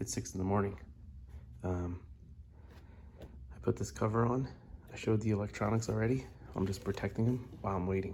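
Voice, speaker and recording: A man's fairly low voice with vocal fry, lively intonation, and long, frequent pauses. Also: fairly quick pace. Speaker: musician building a bass guitar. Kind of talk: casual video log. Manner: quiet; casual, hesitant.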